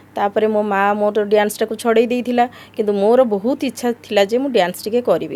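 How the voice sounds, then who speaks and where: Her voice is fairly high for a woman yet dark and mellow in tone, with fairly even intonation. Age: 60s. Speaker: beautician and dancer. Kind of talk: interview.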